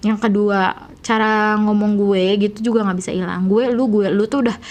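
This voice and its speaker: Woman with a West Javanese accent, fairly high in pitch, fairly even intonation, moderate pace. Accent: Sundanese. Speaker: YouTuber. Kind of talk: casual vlog storytelling. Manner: soft, gentle speech; casual, filler-heavy.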